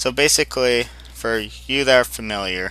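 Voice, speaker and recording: A man's voice shows vocal fry and a bright, sharp tone. He talks at a fairly slow pace with very wide pitch swings. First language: not English. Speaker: gaming guide creator, guild raid leader. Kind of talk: tutorial. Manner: casual, hesitant with fillers.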